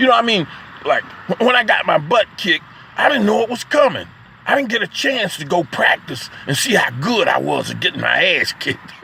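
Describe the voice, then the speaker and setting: Noticeable background noise runs under a man's voice. He talks at a fairly quick pace in an animated tone. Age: 60s. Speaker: poet and vlogger. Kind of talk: casual spoken monologue. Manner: animated, halting with repetitions.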